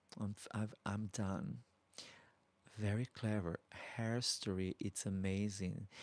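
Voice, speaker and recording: Soft-spoken and very slow, a man with a Brazilian accent and fairly low pitch keeps his intonation fairly even in a dry, close sound with no echo and a very clean recording with a silent background. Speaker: drag queen YouTuber. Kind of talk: live stream Q&A chat. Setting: live stream. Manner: soft-spoken, polite.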